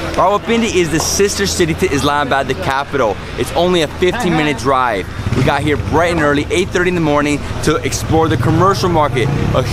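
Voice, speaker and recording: Loud background noise surrounds a man speaking at a fairly quick pace with ordinary pitch variation. The sound is dry with no echo. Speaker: food travel host. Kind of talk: casual vlog chat. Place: street. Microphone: phone near.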